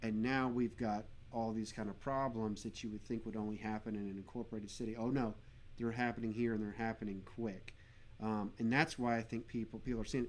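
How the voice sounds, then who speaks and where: A man at a fairly quick pace and medium pitch. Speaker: livestream host interviewing guests. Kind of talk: live interview, casual explanation. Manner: animated, enthusiastic.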